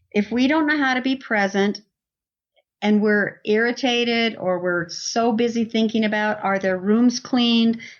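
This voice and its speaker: A woman speaks in a plain, everyday voice at a moderate pace, pitched fairly high. Her pitch varies in an ordinary way and her loudness stays very even. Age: 60s. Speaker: parenting coach and author. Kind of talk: podcast interview.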